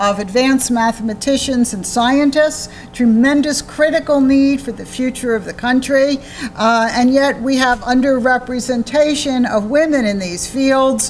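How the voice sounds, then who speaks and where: A woman with an American accent speaks at a high pitch and a fairly slow pace, with fairly even intonation. Noticeable background noise can be heard. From United States. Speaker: psychology professor. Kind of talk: lecture. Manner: loud.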